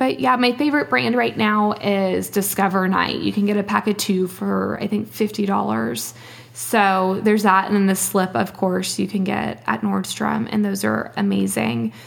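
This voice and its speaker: With an American accent, a woman talks at a moderate pace with hardly any pauses and very even loudness. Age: 20s. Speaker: teacher and blogger. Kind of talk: casual chat.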